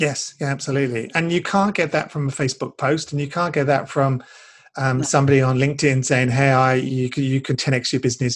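A man's somewhat breathy, fairly high voice, fairly quick and fairly even in intonation, over a quiet background. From UK. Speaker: business coach. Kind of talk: interview.

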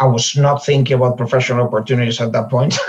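A somewhat breathy man speaks with a Spanish accent. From Spain, Galicia (Ourense). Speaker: localization manager. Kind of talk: interview conversation.

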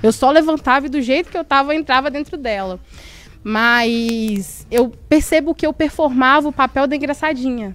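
A woman's high voice moves along at a moderate pace, its pitch rising and falling in a normal way. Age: 20s. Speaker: podcast co-host. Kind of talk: casual panel discussion.

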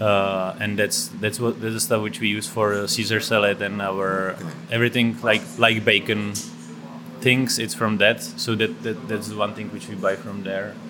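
A man's fairly low voice with a Czech accent, fairly even intonation and a moderate pace, over noticeable background noise. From Czech Republic. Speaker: chef and restaurant owner. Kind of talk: casual interview. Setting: in a restaurant.

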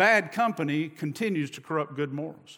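Raised, projected voice of a man, bright and sharp in tone, animated, with ordinary pitch variation at a moderate pace. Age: 50s. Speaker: preacher. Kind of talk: sermon.

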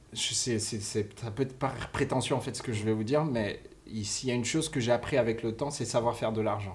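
Somewhat breathy, a man of medium pitch talks at a fairly quick pace with fairly even intonation. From Cameroon. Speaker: music licensing executive. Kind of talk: casual interview. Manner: halting.

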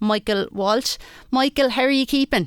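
A woman's voice with fairly even intonation, dry and close with no echo, on a very clean recording with a silent background. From Wexford, Ireland. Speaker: radio sports presenter. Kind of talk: radio sports show presenting.

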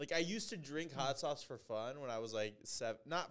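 A man with a normal speaking voice, fairly high in pitch, at a moderate pace. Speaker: podcast co-host. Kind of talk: casual chat.

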